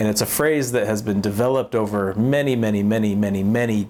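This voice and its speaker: A man with a fairly low pitch speaks in fairly even intonation over noticeable background noise. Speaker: international development technology worker. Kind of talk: scripted vlog talk to camera.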